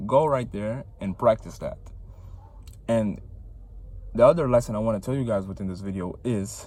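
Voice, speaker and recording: With a non-native accent, a man speaks at a fairly quick pace in a dark, mellow tone with ordinary pitch variation. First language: not English. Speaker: vlogger. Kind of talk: casual motivational vlog. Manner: casual, filler-heavy.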